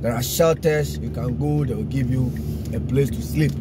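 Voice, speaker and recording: A man talks at a fairly quick pace over background music. The sound is dry, with no echo. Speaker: driver vlogger. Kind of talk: casual vlog chat. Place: car. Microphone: phone near.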